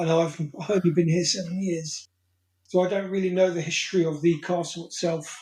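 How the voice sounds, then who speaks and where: A man's high-pitched voice with a southern English accent, a fairly quick pace, and monotone, flat intonation. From south coast of England. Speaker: hot sauce reviewer. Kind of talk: casual interview.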